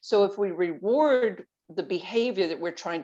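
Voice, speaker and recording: A normal speaking voice with lively intonation at a moderate pace, set against a quiet background. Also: woman. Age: 60s. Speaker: guest on health podcast, weight loss advocate. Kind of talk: podcast interview.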